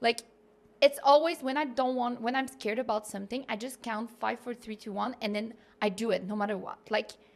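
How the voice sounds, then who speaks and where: Someone talks at a fairly quick pace with a Quebec accent and fairly even intonation. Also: woman, fairly high pitch for a woman. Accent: Québécois French accent in English. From Quebec City, Canada. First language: French. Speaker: content creator and digital nomad. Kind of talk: podcast interview. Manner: casual, filler-heavy.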